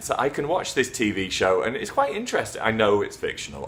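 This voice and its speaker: A man talks in a British accent with ordinary pitch variation. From England. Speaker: English teacher. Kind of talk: casual talk to camera.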